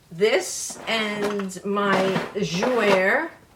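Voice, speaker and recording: A woman speaks in a New York accent. Her voice carries audible room echo, with noticeable background noise behind it. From New York City. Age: 70s. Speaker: beauty vlogger. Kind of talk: makeup tutorial. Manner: animated.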